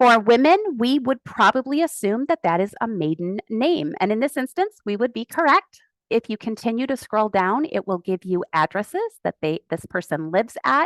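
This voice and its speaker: Pitch swings very widely as a woman talks in a fairly high voice. The sound is dry and close with no echo, over a quiet background. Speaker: genealogy speaker. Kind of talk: webinar presentation. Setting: video call with screen sharing. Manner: fast.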